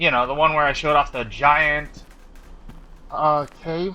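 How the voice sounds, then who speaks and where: The man speaks loudly. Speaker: gaming YouTuber. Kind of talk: gameplay commentary. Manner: halting, self-correcting.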